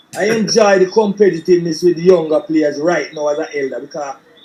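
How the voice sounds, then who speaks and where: A man talks in a Jamaican accent, his pitch high for a man. Noticeable background noise sits behind him. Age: 60s. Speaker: former footballer and coach. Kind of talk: interview. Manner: halting, many repetitions.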